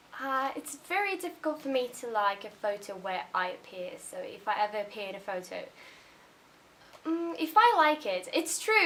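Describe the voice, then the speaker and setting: With very wide pitch swings and a high pitch, a woman talks at a moderate pace over noticeable background noise. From Brazil. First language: Portuguese. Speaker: YouTuber. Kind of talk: casual vlog monologue.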